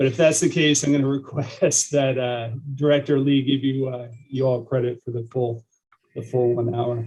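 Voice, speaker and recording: Somewhat breathy and dark, mellow in tone, a man speaks at a medium pitch and a moderate pace with fairly even intonation. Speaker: police lieutenant. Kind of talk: training presentation.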